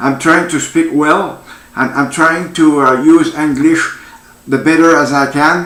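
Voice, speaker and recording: Speaking at a fairly slow pace with a Quebec accent, a man uses a fairly high pitch and a monotone, flat delivery, with audible room echo and noticeable background noise. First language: French. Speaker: veteran vlogger. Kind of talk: vlog rant. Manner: halting.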